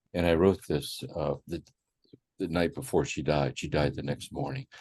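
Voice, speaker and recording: Speaking at a moderate pace, a man with an American accent uses a very deep, low pitch, ordinary pitch variation and vocal fry. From Ohio, US Midwest. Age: 80s+. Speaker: psychologist and contemplative teacher, author. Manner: repetitive, halting in places.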